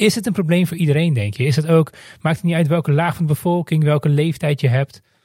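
A man's very fast speech, fairly high in pitch with ordinary pitch variation, in a dark, mellow tone and a dry, close sound with no echo. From Netherlands. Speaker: podcast host. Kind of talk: scripted monologue.

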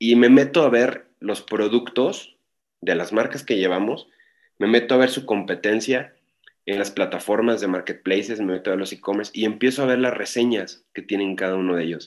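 A man with an ordinary speaking voice talks at a moderate pace and a fairly low pitch with ordinary pitch variation. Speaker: e-commerce and marketing consultant. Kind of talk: interview. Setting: online call.

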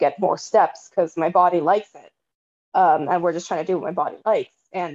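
A woman with an American accent has a normal speaking voice, fairly low in pitch, with fairly even intonation at a fairly quick pace. The sound is dry and close, with no echo. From San Francisco Bay Area, California. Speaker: panelist, athlete. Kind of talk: casual chat.

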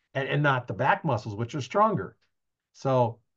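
A somewhat breathy man against a quiet background. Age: 60s. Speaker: podcast host. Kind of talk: casual interview. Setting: video recording, live on Facebook.

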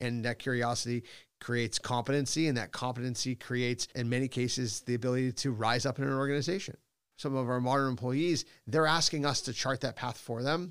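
A man's normal speaking voice with an American accent, medium in pitch, at a fairly quick pace with fairly even intonation, on a very clean recording with a silent background. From Boston, US. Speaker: company executive. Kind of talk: interview conversation.

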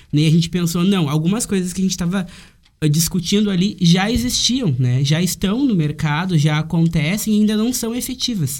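His voice sits high for a man, with pitch that varies in an ordinary way. The pace is moderate. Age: 20s. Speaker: university student. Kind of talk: casual chat.

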